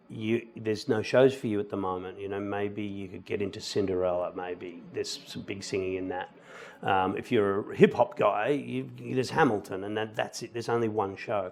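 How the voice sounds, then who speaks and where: Speaking at a moderate pace with an Australian accent, a man with a fairly low voice shows ordinary pitch variation and big swings in loudness. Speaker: musical theatre actor. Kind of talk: interview.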